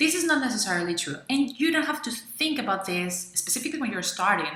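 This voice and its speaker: Very fast, enthusiastic woman's voice with a Venezuelan accent, high pitch and very wide pitch swings, plus noticeable background noise and audible room echo. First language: Spanish. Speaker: freelancer and video blogger. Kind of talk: tutorial. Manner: some hesitations.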